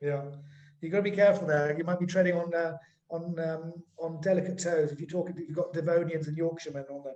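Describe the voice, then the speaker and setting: A man with a high pitch and a dark, mellow tone talks at a very fast pace in an English accent. His intonation stays monotone and flat while his loudness swings widely. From England. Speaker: webinar host. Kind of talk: webinar conversation.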